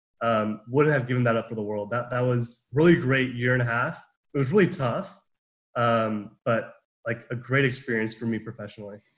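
A man with an American accent speaks at a moderate pace in a medium pitch, his voice somewhat breathy and his pitch varying in an ordinary way. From Southern California. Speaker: business student, club president. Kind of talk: casual interview. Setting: video call.

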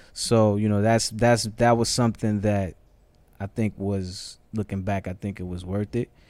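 In an American accent, a man talks at a moderate pace with a fairly low, dark, mellow voice and a monotone, flat delivery on a very clean recording with a silent background. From New York City, the Bronx. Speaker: hip-hop artist manager. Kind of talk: casual chat. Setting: studio.

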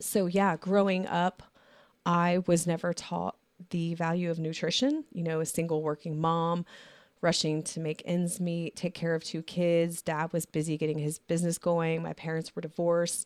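Her fairly low-pitched voice moves at a moderate pace with monotone, flat intonation, sounding dry and close with no echo on a very clean recording with a silent background. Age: 40s. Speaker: podcast host. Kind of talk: casual chat. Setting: studio.

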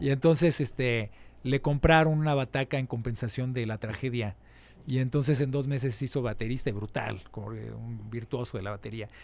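At a moderate speed, a man talks in an ordinary speaking voice, with a medium pitch that varies in an ordinary way. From Mexico City. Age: 40s. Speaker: musician. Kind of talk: interview. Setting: studio.

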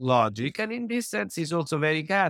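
In an Italian accent, a man talks at a fairly high pitch with very wide pitch swings, in a very clean recording with a silent background. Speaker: peace diplomat and academic. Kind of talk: interview.

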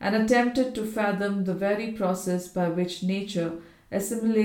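Someone reads aloud plainly. It is plain reading aloud.

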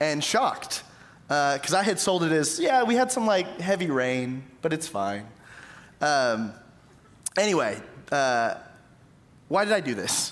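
Audible room echo surrounds a man speaking at a fairly slow pace, his fairly high pitch making very wide swings. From East Texas, Tyler. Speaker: pastor. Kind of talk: sermon.

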